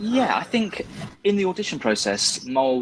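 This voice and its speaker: Against noticeable background noise, a man with a West Country accent speaks at a moderate pace with very wide pitch swings. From West Country, England. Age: 30s. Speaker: stage actor. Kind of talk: interview.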